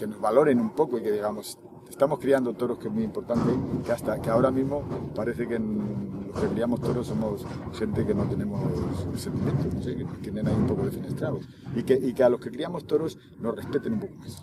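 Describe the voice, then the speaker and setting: Over noticeable background noise, a man speaks at a very fast pace. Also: medium pitch for a man, ordinary pitch variation. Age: 60s. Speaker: bull breeder. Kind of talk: interview. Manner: halting.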